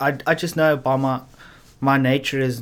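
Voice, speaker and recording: The man here speaks at a fairly slow pace. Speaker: recovering addict. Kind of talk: personal testimony in interview. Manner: halting.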